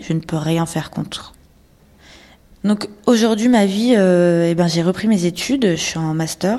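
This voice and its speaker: With a dark, mellow tone, a woman speaks at a fairly low pitch and leaves long, frequent pauses. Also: ordinary pitch variation, fairly slow pace. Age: 30s. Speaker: abuse survivor. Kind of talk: testimony. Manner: halting.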